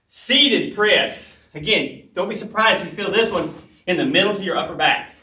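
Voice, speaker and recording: Audible room echo surrounds the voice. The pace is moderate. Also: man. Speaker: fitness trainer. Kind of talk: tutorial. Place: gym. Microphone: camera far.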